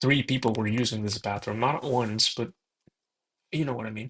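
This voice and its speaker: A soft-spoken man talks at a moderate pace. His intonation stays fairly even. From Mexico. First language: Spanish. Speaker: gaming video creator. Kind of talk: casual gameplay commentary. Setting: alone in own room. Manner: hesitant, many fillers.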